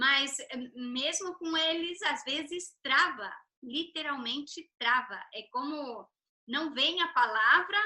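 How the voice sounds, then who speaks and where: In a raised, projected voice, a woman speaks with ordinary pitch variation. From Brazil. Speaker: interview host. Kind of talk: video call interview.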